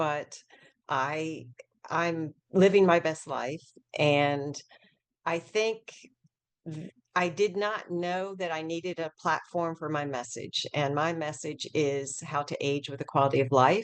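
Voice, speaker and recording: A woman's very deep, low voice at a very slow pace, with ordinary pitch variation and long, frequent pauses. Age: 60s. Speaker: essential oil expert and author. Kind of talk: interview.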